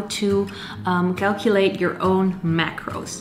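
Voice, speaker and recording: A woman speaks with a non-native accent. Light background noise can be heard. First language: not English. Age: 20s. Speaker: fitness youtuber; fitness vlogger. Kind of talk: tutorial. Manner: casual. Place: home room.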